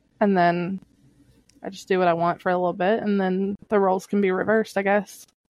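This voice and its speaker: A woman with an American accent talks at a fairly quick pace. Her medium-pitched voice is monotone and flat. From Kentucky, US South. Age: 30s. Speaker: podcast host. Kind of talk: casual chat.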